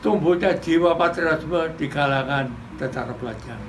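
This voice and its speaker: Amid noticeable background noise and audible room echo, a man speaks with a fairly high pitch. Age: 80s+. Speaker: war veteran. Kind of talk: commemorative speech. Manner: formal.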